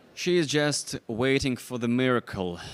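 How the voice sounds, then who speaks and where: A man talks at a very slow pace with a non-native accent. His pitch variation is ordinary. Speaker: backgammon commentator. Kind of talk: live commentary. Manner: halting.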